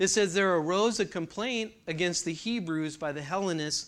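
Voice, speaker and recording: On a very clean recording with a silent background, a man with an American accent and an ordinary speaking voice talks at a moderate pace with ordinary pitch variation. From California. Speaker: church class teacher. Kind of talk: lecture.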